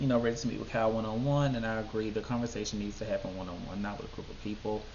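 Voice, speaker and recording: Very fast speech comes from a man with ordinary pitch variation. Room echo is audible. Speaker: YouTube TV show reviewer. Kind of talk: casual video commentary. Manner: animated.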